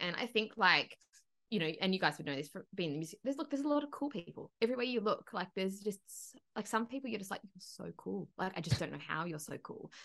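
Very wide pitch swings mark this woman's speech in an Australian accent. She talks at a very fast pace with a bright, sharp tone. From Broken Hill, outback New South Wales, Australia. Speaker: country singer and agency owner. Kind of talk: casual chat. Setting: video call.

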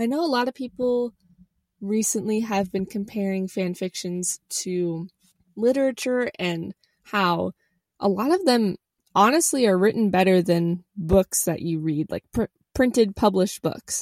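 A woman speaks in a normal speaking voice at a medium pitch and fairly slow pace. The sound is dry and close with no echo. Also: lively intonation. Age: 20s. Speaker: podcast host. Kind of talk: casual solo monologue. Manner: casual, conversational with filler words.

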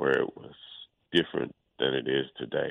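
A man is speaking. He has a Mississippi accent. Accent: Mississippi Southern. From Mississippi Delta, US South. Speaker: son of a civil rights activist. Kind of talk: radio interview.

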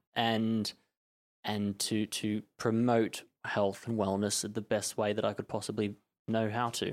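The recording is very clean, the background silent. A man with an Australian accent speaks slowly-ish at a fairly low pitch, his intonation monotone and flat. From Australia, Melbourne. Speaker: personal trainer. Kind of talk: interview.

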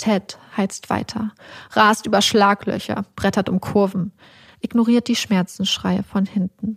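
A woman's voice comes through somewhat breathy, with fairly even intonation. Her pace is moderate. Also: dry, close sound with no echo. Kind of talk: true-crime narration, scripted reading of a story. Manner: tense, dramatic, vivid storytelling.

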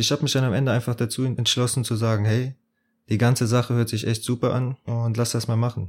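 A man with a medium pitch and a somewhat breathy voice talks at a very fast pace in a monotone, flat intonation with very even loudness. The recording is very clean with a silent background. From southwestern Germany, Bitburg (Eifel). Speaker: podcast co-host, psychology student. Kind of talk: casual chat.

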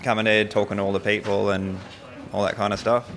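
Here a man talks with an Australian accent at a fairly quick pace. Noticeable background noise is present. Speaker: skeptic convention attendee. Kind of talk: interview. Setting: at a convention.

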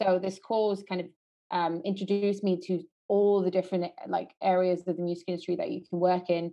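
Her delivery is monotone, with flat intonation and a medium pitch. The woman speaks at a fairly quick pace. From Norway. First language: Norwegian. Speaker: music marketing project manager. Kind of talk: interview. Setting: remote call from quarantine room.

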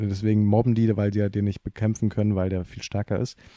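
A man speaks with a dark, mellow tone at a fairly low pitch, the sound dry and close with no echo on a very clean recording against a silent background. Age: 20s. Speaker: stage actor. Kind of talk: casual chat.

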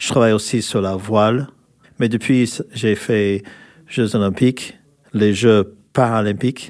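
In an American accent, the speaker goes at a very slow pace with a monotone, flat intonation and long, frequent pauses. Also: man, fairly low pitch for a man. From California, US. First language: English (speaking French). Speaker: former rugby player. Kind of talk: interview. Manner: halting.

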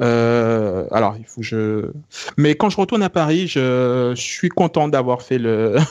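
A man talks very slowly at a medium pitch. His intonation is lively. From France. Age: 30s. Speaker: tech podcast co-founder. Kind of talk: casual chat.

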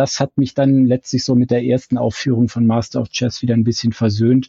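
This man has a normal speaking voice at medium pitch. He talks at a fairly quick pace. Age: 50s. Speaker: fan website founder. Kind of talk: casual chat.

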